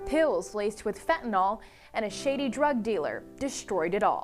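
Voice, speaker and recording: Music plays in the background as a woman speaks at a moderate pace. Her fairly high pitch swings very widely. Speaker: news anchor and reporter. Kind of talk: TV news anchor delivery.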